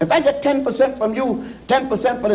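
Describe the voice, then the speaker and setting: Extremely high pitch from a man at a fairly quick pace, with noticeable background noise. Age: 60s. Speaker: scholar of African history. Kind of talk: TV panel discussion. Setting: TV studio.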